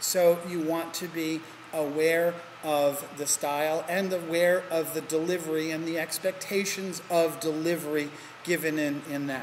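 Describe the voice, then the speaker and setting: With an American accent and a fairly high pitch, a man speaks at a fairly slow pace in a monotone, flat way, amid noticeable background noise and audible room echo. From New Jersey / New York area. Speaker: teacher. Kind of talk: lecture. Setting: recorded lecture in a hall. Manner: deliberately slower than normal.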